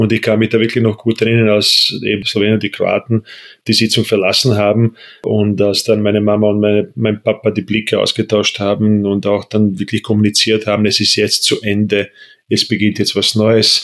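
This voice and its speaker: With a Bosnian accent, a man speaks in a fairly low, monotone, flat voice at very even loudness. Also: moderate pace, very clean recording, silent background. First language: Bosnian (speaking German). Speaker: political scientist. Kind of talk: personal interview. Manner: halting.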